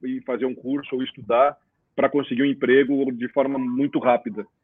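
An unremarkable speaking voice from a man, fairly high-pitched, with ordinary pitch variation and a moderate pace. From Rio Grande do Sul, Brazil (Cruz Alta). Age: 50s. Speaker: career and employability consultant. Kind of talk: casual live-stream interview.

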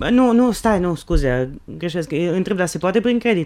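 A man speaks in a high pitch, his intonation lively. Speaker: podcast co-host. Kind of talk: casual chat.

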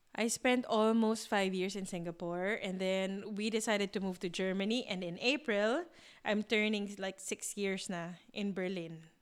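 A woman with a Filipino accent talks at a moderate pace in a medium pitch. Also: fairly even intonation. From Philippines. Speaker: podcast co-host. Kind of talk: casual chat.

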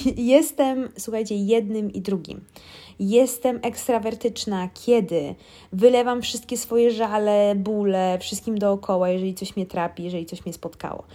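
Recorded very cleanly against a silent background, a woman speaks at a moderate pace in a medium pitch with a dark, mellow tone and ordinary pitch variation. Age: 30s. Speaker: podcast host. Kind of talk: casual monologue.

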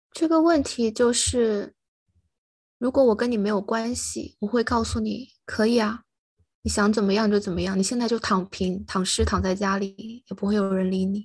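Over a quiet background, the somewhat breathy voice moves at a moderate pace with ordinary pitch variation. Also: woman, medium pitch for a woman. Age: young. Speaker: podcast co-host. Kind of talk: casual chat.

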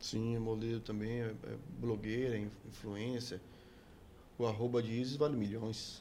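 A man with a medium-pitched, dark and mellow voice speaks fairly slowly in a flat monotone, leaving long, frequent pauses, and the room echo is audible. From Bahia, Brazil (Salvador). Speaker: musician. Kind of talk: casual interview chat.

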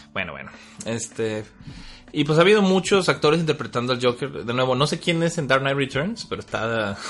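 There is noticeable background noise as a man talks at a fairly quick pace with a Mexican accent. His voice sits fairly high, and his intonation is lively. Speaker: podcast host. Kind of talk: casual chat.

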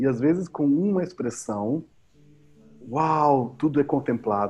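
This man speaks at a very slow pace. His pitch is medium. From southern Brazil, Pelotas, Rio Grande do Sul. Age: 50s. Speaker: musician and educator. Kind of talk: casual interview chat.

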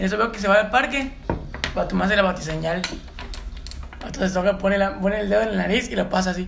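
Very fast speech in a Mexican accent, broken by long, frequent pauses, over noticeable background noise. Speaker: podcast co-host. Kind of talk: casual chat.

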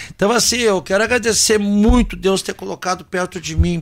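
Recorded very cleanly with a silent background, a man speaks at a moderate pace. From Rio Grande do Sul, Brazil (Santa Cruz do Sul). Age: 50s. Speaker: singer and band leader. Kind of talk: casual chat.

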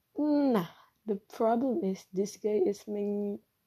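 With an Indonesian accent, a woman speaks very slowly at a medium pitch, her dark, mellow tone carrying ordinary pitch variation. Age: 20s. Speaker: podcaster. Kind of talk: personal monologue. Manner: halting.

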